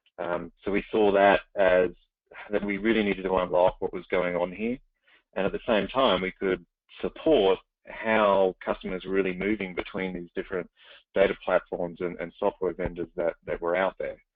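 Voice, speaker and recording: A man speaks with an Australian accent in a very deep, low voice. His intonation is fairly even and his pace moderate. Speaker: startup CEO. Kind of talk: webinar interview. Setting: webinar call.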